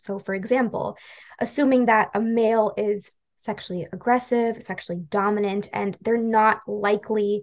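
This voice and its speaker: At a moderate pace, a woman speaks in an unremarkable speaking voice pitched fairly high. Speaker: podcast host, education coordinator. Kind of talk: interview questions.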